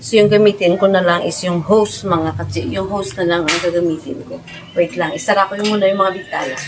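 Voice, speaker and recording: Noticeable background noise sits behind a woman whose fairly low voice has ordinary pitch variation. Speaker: vlogger. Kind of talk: casual vlog. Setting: outdoors. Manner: louder to cover background music.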